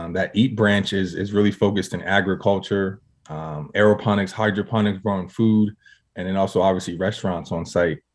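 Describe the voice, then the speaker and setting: Over a quiet background, a man with an American accent speaks in a normal speaking voice, fairly low in pitch, with fairly even intonation. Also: fairly quick pace. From Harrisburg, Pennsylvania. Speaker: former NFL player and nonprofit founder. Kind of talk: interview.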